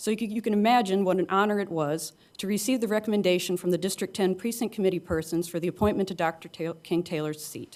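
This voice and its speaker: Talking at a very fast pace, a woman with a Midwestern US accent uses ordinary pitch variation. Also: medium pitch for a woman. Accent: US Midwest. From rural Illinois, Kankakee County. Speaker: county board candidate. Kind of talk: opening statement at candidate forum. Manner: halting.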